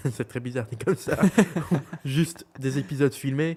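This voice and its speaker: The speaker has a Belgian accent. The pace is moderate. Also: man. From Belgium. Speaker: podcast co-host. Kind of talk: casual chat. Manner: hesitant, many fillers.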